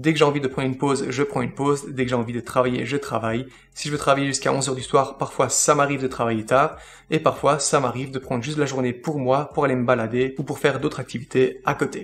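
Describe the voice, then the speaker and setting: The speaker talks at a very fast pace with a slight Belgian accent. Intonation stays fairly even over light background noise. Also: man, medium pitch for a man. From Belgium. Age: 30s. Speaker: finance YouTuber. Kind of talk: casual Q&A monologue to camera. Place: home room.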